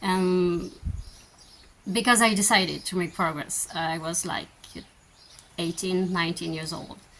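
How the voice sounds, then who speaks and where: Noticeable background noise sits under this recording. A woman talks at a fairly slow pace with a medium pitch. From France. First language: French. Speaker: vlogger. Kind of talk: Q&A answers. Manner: hesitant, many fillers.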